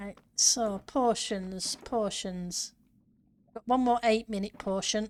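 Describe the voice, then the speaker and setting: The pace is very slow, with fairly even intonation. The speaker has a northern English accent. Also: woman, fairly high pitch for a woman. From northern England, near Yorkshire border. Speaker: gaming streamer. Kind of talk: casual live-stream chat.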